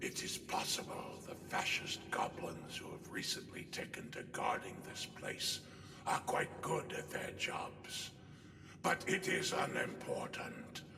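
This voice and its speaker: A man's put-on character voice at a fairly slow pace, with clear echo and loud background noise. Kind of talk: comic overacting. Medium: machinima. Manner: pompous, long-winded, rambling.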